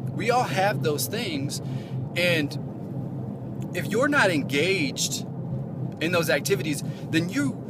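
Through loud background noise, a man talks at a very slow pace with ordinary pitch variation in a dry sound with no echo. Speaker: relationship advice vlogger. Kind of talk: motivational talk to camera. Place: car. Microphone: phone near.

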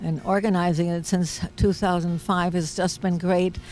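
A woman's medium-pitched voice with a German accent and a dark, mellow tone, dry with no echo, over light background noise. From Germany. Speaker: peace activist. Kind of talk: interview; interview answer. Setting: outdoors. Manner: hesitant, many fillers. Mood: warm, reflective. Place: open country. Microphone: handheld.

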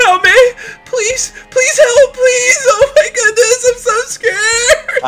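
A put-on character voice at an extremely high pitch and very slow pace, with music in the background. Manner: panicked, frightened.

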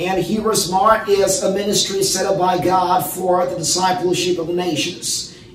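In a room with audible echo and light background noise, a man speaks in a high, monotone, flat voice. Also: moderate pace, hardly any pauses. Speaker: preacher, Bible teacher. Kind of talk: sermon.

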